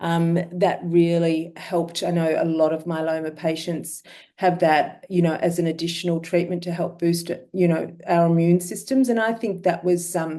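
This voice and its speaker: Intonation is flat and monotone throughout. The voice has a dark, mellow tone. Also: woman, fairly low pitch for a woman, moderate pace. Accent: Australian. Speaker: myeloma patient sharing experience. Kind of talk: webinar talk.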